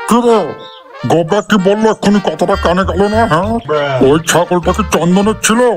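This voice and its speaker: In a cartoonish character voice, a man talks at a high pitch and moderate pace. Clear music plays in the background. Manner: coarse, bossy and threatening.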